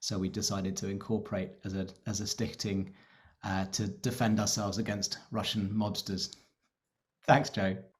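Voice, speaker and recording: A man with a British accent, fairly low pitch, monotone, flat intonation, a somewhat breathy sound, and a moderate pace. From Britain. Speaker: election candidate. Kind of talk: webinar Q&A.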